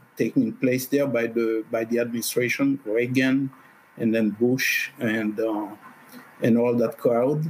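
Amid noticeable background noise, a man with a medium pitch speaks at a moderate pace. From Haiti. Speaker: activist. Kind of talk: interview.

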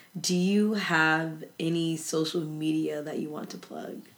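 A woman speaks with a very deep, low pitch. Room echo is audible. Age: 20s. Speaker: podcast host. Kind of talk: casual chat.

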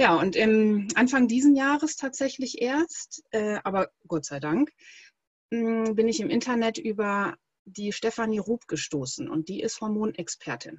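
A woman's fairly high, somewhat breathy voice with very wide pitch swings, at a fairly slow pace. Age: 30s. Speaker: breathing coach. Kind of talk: interview.

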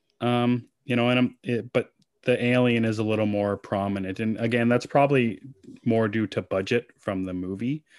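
With a Canadian accent, a man speaks in an ordinary speaking voice at a medium pitch. His pace is moderate, his intonation fairly even, and the sound dry and close with no echo. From Canada. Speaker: podcast guest. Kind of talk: casual chat.

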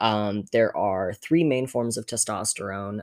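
On a very clean recording with a silent background and a dry, close sound with no echo, a man speaks in a normal speaking voice at a fairly slow pace. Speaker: guest. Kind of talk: casual interview chat.

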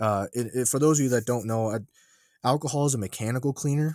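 An unremarkable speaking voice from a man with an American accent, fairly quick, with ordinary pitch variation, on a very clean recording with a silent background and a dry, close sound with no echo. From upstate New York. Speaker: podcast host, army veteran. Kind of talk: casual chat.

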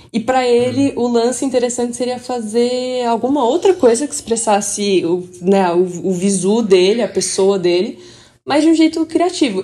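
Speaking at a moderate pace, this woman has a fairly high pitch and a dark, mellow tone. Her pitch swings very widely. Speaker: podcast co-host. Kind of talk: casual chat.

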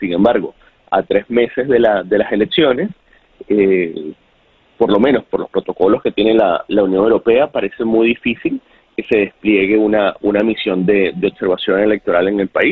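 Fairly low in pitch, a man speaks at a moderate pace with ordinary pitch variation. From Venezuela. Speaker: journalist. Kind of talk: interview. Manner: halting.

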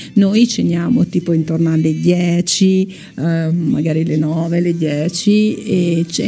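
The speaker's intonation stays fairly even against noticeable background noise. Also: woman. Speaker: radio host. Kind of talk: casual chat. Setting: studio.

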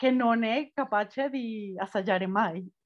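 A woman speaks with a Spanish accent. Her pitch sits fairly high. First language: Spanish (speaking Italian). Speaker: podcast host. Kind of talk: casual chat.

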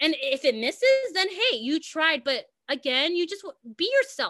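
A woman with an American accent projects a raised voice in a bright, sharp tone, her pitch swinging very widely, in a dry, close sound with no echo. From US West Coast, Los Angeles. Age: 20s. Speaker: content creator and singer. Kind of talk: casual interview. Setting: video call.

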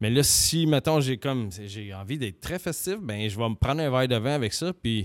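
In a Quebec accent, a man talks at a moderate pace and medium pitch, with lively intonation and hardly any pauses. The recording is very clean, with a silent background and a dry, close sound with no echo. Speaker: podcast co-host. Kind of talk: casual chat. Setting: studio.

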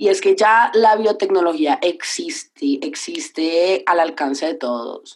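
Speaking very slowly with hardly any pauses, a woman at a medium pitch swings her pitch very widely. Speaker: podcast co-host. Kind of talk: casual chat.

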